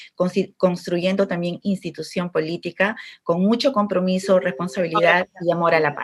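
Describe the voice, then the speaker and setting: Fairly even intonation from an unremarkable speaking voice, moving at a moderate pace. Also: woman. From Peru, Chimbote (Áncash coast). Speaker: political candidate. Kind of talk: political debate. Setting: video call.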